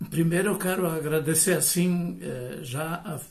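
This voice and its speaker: A somewhat breathy man at a very slow pace, with audible room echo. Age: 70s. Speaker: retired professor. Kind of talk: lecture.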